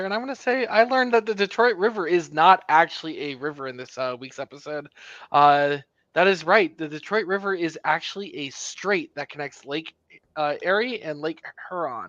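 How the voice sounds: A man with an American accent and a high pitch speaks at a moderate pace with lively intonation, a bright, sharp tone and big swings in loudness, in a dry, close sound with no echo against a quiet background.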